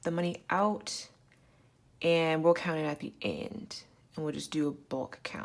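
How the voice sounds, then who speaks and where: A woman speaks in a normal speaking voice at a fairly low pitch. Her pace is moderate, and the recording is very clean with a silent background. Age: 20s. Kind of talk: casual talk to camera.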